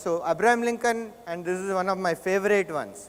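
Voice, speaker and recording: A man with a South Indian accent, at a moderate pace and with ordinary pitch variation. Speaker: conference speaker. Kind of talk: keynote talk.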